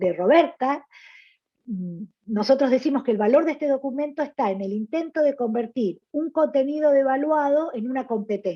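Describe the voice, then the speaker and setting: A woman speaks with a high pitch. Her intonation is lively and her pace moderate. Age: 60s. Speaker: gynecologist. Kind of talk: panel presentation. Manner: halting, many fillers.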